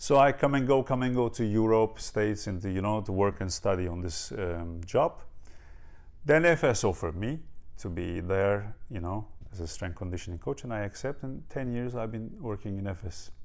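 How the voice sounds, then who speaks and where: A man with a Turkish accent, fairly low pitch and lively intonation. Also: moderate pace. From Turkey, near Ankara. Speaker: strength and conditioning coach. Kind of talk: interview. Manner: halting, many fillers.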